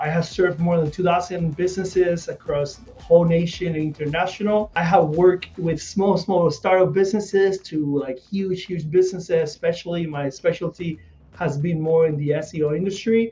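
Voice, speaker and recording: A high-pitched male voice with a Spanish accent, a fairly quick pace, fairly even intonation, hardly any pauses and music in the background. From Puerto Rico. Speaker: SEO specialist. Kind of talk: casual video chat interview.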